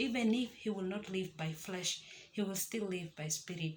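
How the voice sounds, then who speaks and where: The woman is soft-spoken. She keeps a moderate pace. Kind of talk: devotional talk to camera. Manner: soft-spoken, keeping voice low.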